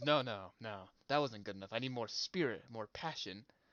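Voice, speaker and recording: A booming, put-on character voice from a man, medium in pitch, with ordinary pitch variation and a moderate pace. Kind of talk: hammy stage acting. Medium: actual play.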